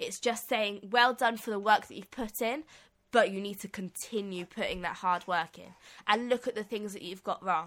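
Recorded very cleanly against a silent background, a woman with a British accent speaks at a medium pitch and moderate pace, with ordinary pitch variation and big swings in loudness. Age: 20s. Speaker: podcast co-host. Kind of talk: casual chat. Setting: studio.

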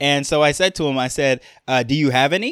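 A man with a New York accent, fairly high-pitched, at a fairly quick pace, on a very clean recording with a silent background. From Jamaica. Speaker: podcast host. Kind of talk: solo podcast monologue. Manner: casual, conversational, filler words.

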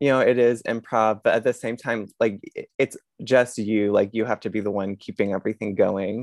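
A man with a normal speaking voice talks at medium pitch and a moderate pace, with fairly even intonation. The background is quiet and the sound dry and close with no echo. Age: 30s. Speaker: comedian and comedy show producer. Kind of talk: casual interview.

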